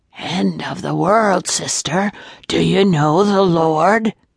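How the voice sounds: A put-on character voice, guttural and croaky at a middle pitch, drags along at a very slow pace.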